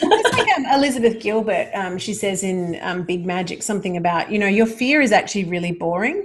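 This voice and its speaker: Noticeable background noise accompanies a woman of medium pitch talking at a fairly quick pace with hardly any pauses. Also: lively intonation. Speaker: mindset coach for women entrepreneurs. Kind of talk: interview conversation. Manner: loud, boisterous; energetic, bubbly.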